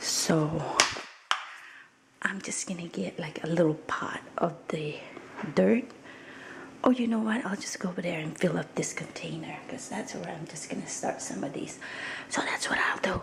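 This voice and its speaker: A woman's whisper at a moderate pace, with noticeable background noise. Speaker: vlogger. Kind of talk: casual vlog. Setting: at home. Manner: soft-spoken.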